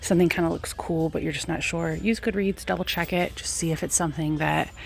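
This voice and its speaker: Noticeable background noise runs under the recording. Over it, a woman talks at a fairly quick pace. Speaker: reseller vlogger. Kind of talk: casual vlog narration. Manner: fast.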